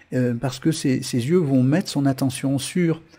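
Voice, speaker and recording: A man speaks at medium pitch with ordinary pitch variation. His tone is dark, mellow and somewhat breathy. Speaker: web TV host and karmic numerology coach. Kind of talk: live-streamed talk answering chat. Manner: fast; hesitant with many fillers and repetitions.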